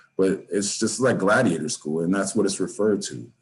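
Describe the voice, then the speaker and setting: A man talking at a fairly quick pace. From Oceanside, California (San Diego County). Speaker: former prisoner. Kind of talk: interview.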